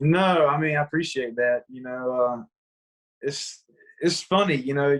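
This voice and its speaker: Speaking slowly-ish with a Southern accent, a man keeps a fairly high pitch and ordinary pitch variation. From US South, rural Georgia. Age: 20s. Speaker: country singer. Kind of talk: casual chat.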